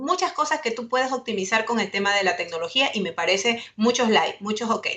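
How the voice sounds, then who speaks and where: A woman speaks at a fairly high pitch with ordinary pitch variation and a bright, sharp tone. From Ecuador. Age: 40s. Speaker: webinar panelist, communications lecturer. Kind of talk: webinar presentation.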